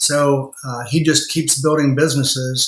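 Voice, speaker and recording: This man has an unremarkable speaking voice with an American accent. His pitch is fairly high, his intonation fairly even, and his pace moderate. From rural Indiana. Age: 60s. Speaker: lawyer and law firm owner. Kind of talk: podcast interview.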